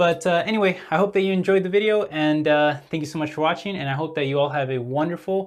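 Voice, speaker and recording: A man with a fairly high voice talks at a very fast clip, barely pausing, his pitch moving in an ordinary way. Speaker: stock market YouTuber. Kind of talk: casual market update vlog. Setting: at home with windows open. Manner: halting, many fillers and restarts.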